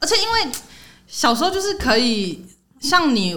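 A woman with a Taiwanese accent and very wide pitch swings, in audible room echo. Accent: Taiwanese Mandarin. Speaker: podcast host. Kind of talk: casual chat.

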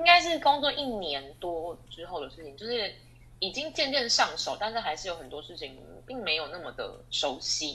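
Featuring vocal fry, the voice moves at a moderate pace with very wide pitch swings and big swings in loudness. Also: woman, fairly high pitch for a woman. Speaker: export sales manager. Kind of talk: testimony interview. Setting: online interview. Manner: hesitant with many fillers.

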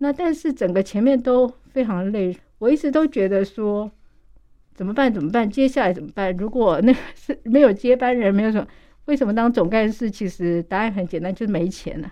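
A woman with an unremarkable speaking voice, fairly high in pitch, with lively intonation and a fairly quick pace. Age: 50s. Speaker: nonprofit association director. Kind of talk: radio interview.

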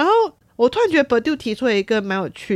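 Here a woman is talking. Her recording is very clean, and the background is silent. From Taiwan. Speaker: podcast host, sociology student. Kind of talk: casual monologue.

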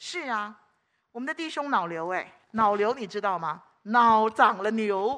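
A woman with a fairly high pitch and a bright, sharp tone talks at a fairly slow pace, animated and lively in intonation. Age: 60s. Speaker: preacher. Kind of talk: sermon. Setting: church.

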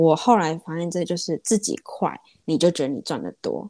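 A woman with an unremarkable speaking voice, fairly low in pitch, at a moderate pace with ordinary pitch variation, dry and close with no echo. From Taiwan. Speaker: small business owner. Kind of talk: interview. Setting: remote call.

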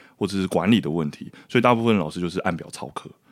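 Very fast speech with lively intonation and vocal fry. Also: man. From Taiwan, hillside community near Taipei. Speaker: documentary filmmaker. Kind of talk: casual interview chat.

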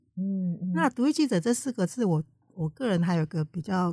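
A woman speaks with lively intonation in a dark, mellow, somewhat breathy tone. The sound is dry and close, with no echo. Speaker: independent journalist. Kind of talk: interview. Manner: gentle, soft tone.

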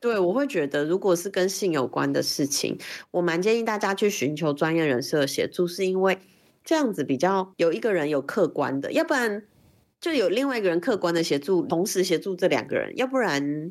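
In an ordinary speaking voice, a woman of medium pitch talks at a fairly quick pace with lively intonation and very even loudness, on a very clean recording with a silent background. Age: 40s. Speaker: LGBTQ rights activist. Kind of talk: interview conversation.

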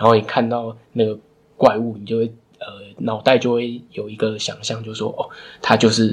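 At a moderate pace, the speech is monotone and flat, with big swings in loudness and long, frequent pauses. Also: man, medium pitch for a man. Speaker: book podcast co-host. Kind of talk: casual book discussion.

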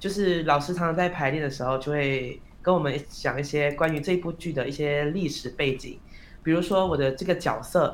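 The speech moves at a moderate pace with fairly even intonation and audible room echo. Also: man, fairly high pitch for a man. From Malaysia. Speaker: performing arts student, actor. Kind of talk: interview.

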